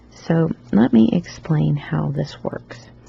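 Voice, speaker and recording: Noticeable background noise sits behind a woman speaking very slowly with a Southern US accent. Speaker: loom knitting tutor. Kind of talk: tutorial. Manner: casual, with many fillers.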